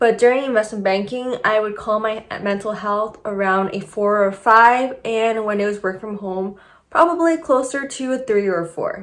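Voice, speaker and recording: A woman speaks in an unremarkable speaking voice at a fairly high pitch, with ordinary pitch variation. Her pace is moderate, with hardly any pauses. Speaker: YouTuber, former investment banker. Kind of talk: casual video commentary.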